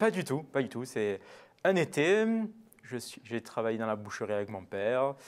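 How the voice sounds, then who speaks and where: Speaking at a moderate pace, a man leaves long, frequent pauses. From Marseille, southern France. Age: young. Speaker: butcher; guest. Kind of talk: TV interview. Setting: TV studio. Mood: calm, relaxed, warm. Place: studio.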